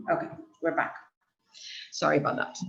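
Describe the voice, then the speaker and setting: A woman is speaking. Her voice carries audible room echo. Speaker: lecturer. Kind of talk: lecture. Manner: halting. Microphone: too far from mic, too quiet.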